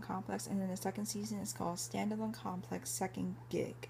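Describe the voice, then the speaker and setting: There is audible echo from the room. The woman talks fairly quickly. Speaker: anime collector vlogger. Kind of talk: casual show-and-tell video. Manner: hesitant, many fillers.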